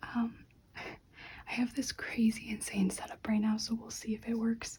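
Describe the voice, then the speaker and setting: The speaker is soft-spoken and keeps a fairly slow pace. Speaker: ASMR creator. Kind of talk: ASMR soft-spoken lego build.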